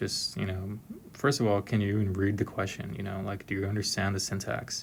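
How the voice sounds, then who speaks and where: Over noticeable background noise, a man with an American accent speaks in a fairly low pitch. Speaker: software engineer explaining exam questions. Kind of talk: tutorial. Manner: monotone; hesitant, many fillers.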